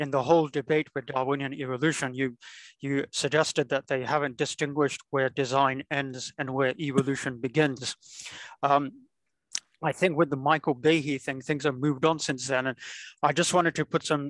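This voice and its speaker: A man talks at a fairly high pitch and moderate pace in monotone, flat intonation. The background is quiet and the sound is dry with no echo. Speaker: lecture participant asking a question. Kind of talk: Q&A discussion. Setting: video call. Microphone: video call.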